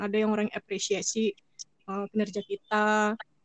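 The speaker is a woman with a fairly high pitch. Her voice sounds dry and close, with no echo. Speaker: fan club treasurer. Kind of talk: casual interview.

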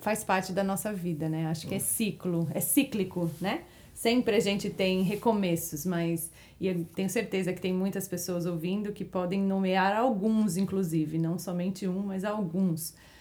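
A woman talks at a fairly slow pace with a medium pitch. Her tone is dark and mellow, and her intonation fairly even. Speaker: interior designer. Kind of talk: testimony.

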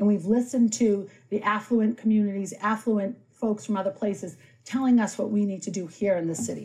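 A woman speaks with hardly any pauses, her voice somewhat breathy. Her tone is dark and mellow, and her intonation fairly even. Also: medium pitch for a woman, fairly quick pace. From Boston. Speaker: city councillor. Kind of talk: political debate.

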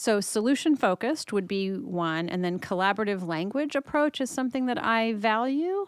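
A woman speaks in an ordinary speaking voice with a General American accent. Her pitch is fairly high, on a very clean recording with a silent background. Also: moderate pace. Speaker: marriage and family therapist. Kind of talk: interview.

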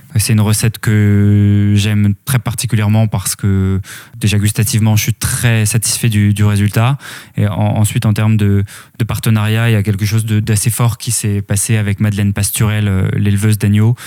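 A man speaks in a dark, mellow tone at a fairly low pitch, at a moderate pace. His intonation is monotone and flat, his loudness very even. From Normandy, France. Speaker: artisanal food producer. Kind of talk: interview conversation. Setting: home kitchen. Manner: hesitant, many fillers.

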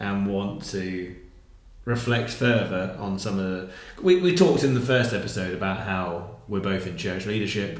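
A man with a fairly low pitch and a somewhat breathy voice speaks at a moderate pace with ordinary pitch variation, amid audible room echo. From southern England. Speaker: worship leader. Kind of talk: casual chat.

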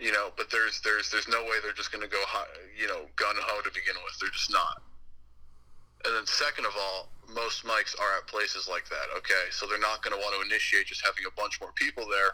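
Noticeable background noise behind a fairly quick-paced man in an American accent. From Connecticut, US. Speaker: podcast host. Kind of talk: casual chat.

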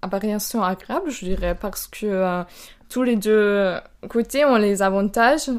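In a German accent, a woman speaks at a medium pitch. The recording is very clean, with a silent background. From Austria, Burgenland. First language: German (speaking French). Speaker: exchange student. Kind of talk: casual interview.

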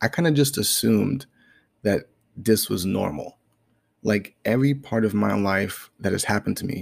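A man at a moderate pace, fairly low in pitch. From Brooklyn, New York. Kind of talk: casual monologue. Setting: home living room.

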